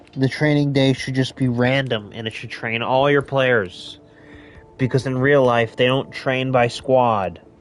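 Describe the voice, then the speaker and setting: Speaking with an American accent, a man uses a medium pitch and an animated tone at a fairly slow pace. Music plays in the background. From United States. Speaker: gamer streamer. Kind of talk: gameplay commentary. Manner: casual, animated.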